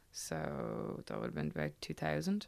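A woman with a Dublin accent in a very clean recording, silent background. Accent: Dublin Irish. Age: 20s. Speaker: Gaelic football player. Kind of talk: interview.

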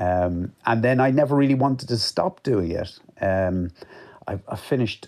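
A man speaks in an Irish accent. His pitch varies in an ordinary way. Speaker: author and journalist. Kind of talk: radio interview.

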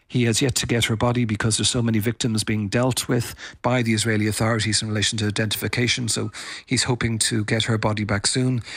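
Very fast and at very even loudness, a man with an Irish accent delivers his lines at a medium pitch in monotone, flat intonation. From Ireland. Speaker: foreign correspondent. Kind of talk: interview. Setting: remote from Tel Aviv, pre-recorded.

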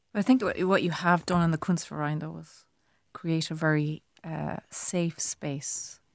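On a very clean recording with a silent background, a woman with a Cork accent and a fairly low pitch talks at a fairly slow pace, with ordinary pitch variation and big swings in loudness. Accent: Cork Irish. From Ireland, Cork city. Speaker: visual artist. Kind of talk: casual chat.

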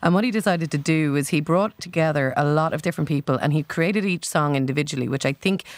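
Someone with an Irish accent talks at a very fast pace with ordinary pitch variation, recorded very cleanly against a silent background with a dry, close sound and no echo. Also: woman. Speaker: music critic. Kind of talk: album review discussion.

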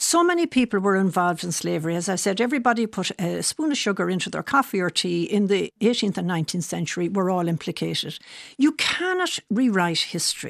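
A woman with an Irish accent talks at a very fast pace with hardly any pauses, at a medium pitch and with lively intonation. The sound is dry and close with no echo, against a quiet background. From Ireland. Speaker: author and biographer. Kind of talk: radio interview.

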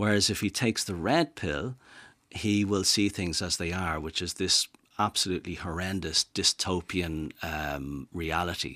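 In a Dublin accent, the speaker talks at a fairly slow pace with a bright, sharp tone and ordinary pitch variation. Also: man, very deep, low pitch for a man. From Dublin, Ireland. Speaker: rewilding advocate and author. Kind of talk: radio interview. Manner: halting, repeats words.

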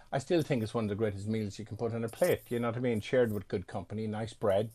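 Speaking very fast with an Irish accent, a man has a dark, mellow, somewhat breathy tone on a very clean recording with a silent background. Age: 50s. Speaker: chef and restaurateur. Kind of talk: interview. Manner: halting.

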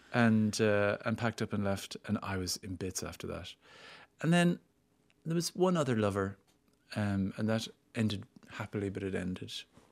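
In a very clean recording with a silent background, a man with an Irish accent talks at a moderate pace in a fairly low pitch, his lively intonation broken by long, frequent pauses. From Ireland, small town. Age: 50s. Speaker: actor and screenwriter. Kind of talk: interview.

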